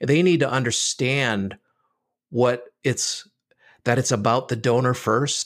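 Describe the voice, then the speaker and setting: A plain, everyday voice speaks with an American accent at a fairly slow pace. The intonation is lively. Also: man. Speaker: fundraising consultant and author. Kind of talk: podcast interview. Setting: remote podcast recording.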